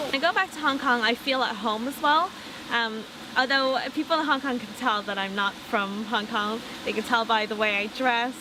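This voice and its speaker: In an Irish accent, a woman talks at a fairly quick pace with a high pitch. Noticeable background noise runs under her voice. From Ireland. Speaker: interviewee. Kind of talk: interview.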